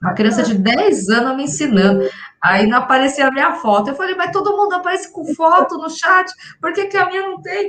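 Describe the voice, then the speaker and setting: Her high-pitched voice moves at a fairly quick pace, and this woman's pitch swings very widely. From São Paulo, Brazil. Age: 40s. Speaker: salesperson, course student. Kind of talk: interview testimony.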